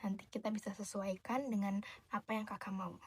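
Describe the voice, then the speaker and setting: Soft-spoken and somewhat breathy, a woman with a fairly high pitch uses a gentle tone and a monotone, flat intonation. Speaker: shop tailor / dressmaker character helping a customer. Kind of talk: ASMR roleplay as a tailor talking to the viewer. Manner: soft-spoken, gentle.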